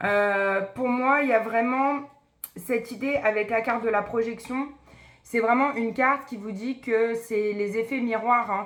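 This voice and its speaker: Here is a plain, everyday voice. A woman speaks at a fairly high pitch and a moderate pace with fairly even intonation. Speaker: psychic medium doing card readings. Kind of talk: tarot card reading video.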